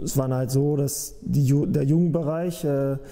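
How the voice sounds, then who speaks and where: A man is speaking. His pace is very slow. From northern Germany, Hameln-Pyrmont area (Lower Saxony); Lower Saxony. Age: 20s. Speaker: professional football goalkeeper. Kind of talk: interview. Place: office. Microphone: lapel.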